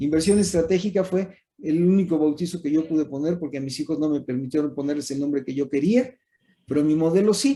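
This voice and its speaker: Moving at a fairly quick pace, the speaker has a dark, mellow tone. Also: man, fairly high pitch for a man, ordinary pitch variation. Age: 70s. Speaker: professor. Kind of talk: lecture.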